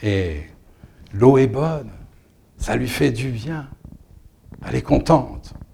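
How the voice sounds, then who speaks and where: A medium-pitched male voice with vocal fry and lively intonation. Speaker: storyteller. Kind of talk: dramatic storytelling of a myth, told as an oral tale with a rhythmic, incantatory build. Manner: animated, with short repetitive mirrored phrases that build tension.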